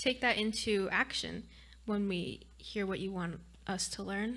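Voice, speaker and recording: Her pitch shifts an ordinary amount. The woman talks at a moderate pace. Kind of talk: spoken prayer. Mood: calm, gentle, reverent. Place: church. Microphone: studio mic.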